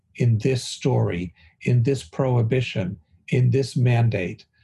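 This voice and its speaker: A man's dark, mellow, somewhat breathy voice with an American accent, at a fairly slow pace. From US West Coast, San Francisco. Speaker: rabbi and theology dean. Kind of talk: casual chat.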